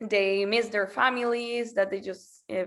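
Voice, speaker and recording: On a very clean recording with a silent background, the woman keeps her intonation fairly even. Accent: Spanish. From Venezuela. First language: Spanish. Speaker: school program representative. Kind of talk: presentation. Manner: halting, with many fillers.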